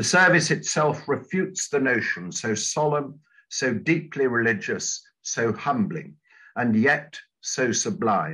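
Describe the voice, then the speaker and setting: In a southern English accent, a man with fairly high pitch, vocal fry and lively intonation talks at a fairly slow pace against a quiet background. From southern England. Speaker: church minister and retired divinity professor. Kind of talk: lecture. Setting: video call. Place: home room. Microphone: webcam.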